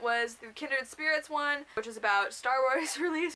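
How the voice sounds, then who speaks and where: In a raised, projected voice, a woman speaks at a high pitch with a bright, sharp tone and lively intonation. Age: young. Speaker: booktuber. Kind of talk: casual vlog. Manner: loud.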